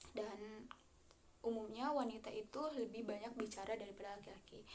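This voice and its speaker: Someone with a West Javanese accent speaks at a moderate pace, with audible room echo. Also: woman. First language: Sundanese (speaking Indonesian). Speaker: university student. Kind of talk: class presentation. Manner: halting, many fillers.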